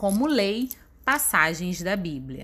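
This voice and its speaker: A woman with a Brazilian accent speaks very slowly at a medium pitch, her voice swinging very widely up and down. The recording is very clean, with a silent background. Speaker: book podcaster. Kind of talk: scripted narration.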